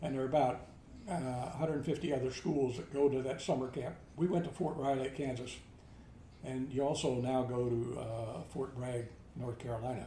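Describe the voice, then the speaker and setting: A moderate pace, fairly even intonation, and noticeable background noise. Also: man, medium pitch for a man. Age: 80s+. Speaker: army veteran. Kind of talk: interview answer.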